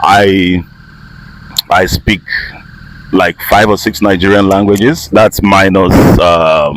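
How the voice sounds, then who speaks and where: Against noticeable background noise, a man speaks at a very slow pace with very even loudness and long, frequent pauses. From Nigeria, Igbo from Imo State. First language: Igbo. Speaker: voice-over artist and actor. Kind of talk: casual interview. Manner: animated.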